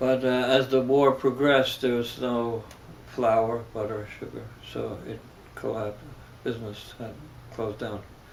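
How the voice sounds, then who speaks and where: A man with a German accent at medium pitch, monotone and flat, fairly slow with long, frequent pauses and big swings in loudness, amid noticeable background noise and audible room echo. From Germany, then New York City. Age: 70s. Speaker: religious leader. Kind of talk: interview. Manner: halting.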